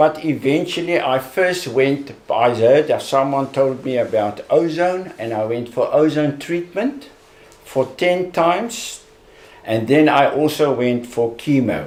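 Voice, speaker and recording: Ordinary pitch variation at a fairly slow pace, with noticeable background noise. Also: man, fairly high pitch for a man. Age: 70s. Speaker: cancer survivor. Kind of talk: testimony. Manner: halting.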